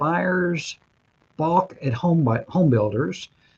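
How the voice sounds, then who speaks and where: With lively intonation, this man talks in a somewhat breathy way. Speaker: mortgage broker and show host. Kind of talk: webinar presentation.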